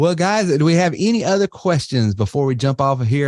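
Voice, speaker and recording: Recorded dry and close with no echo, a man with a Southern US accent has a dark, mellow tone. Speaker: webinar host, marketing business owner. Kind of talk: webinar presentation. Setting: online webinar. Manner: casual, halting with fillers.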